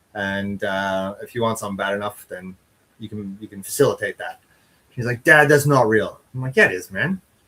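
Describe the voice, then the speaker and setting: A bright, sharp tone comes at a fairly quick pace, with ordinary pitch variation and big swings in loudness. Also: man, medium pitch for a man. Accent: slight Canadian. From Canada. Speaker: chili eating champion. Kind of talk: casual interview.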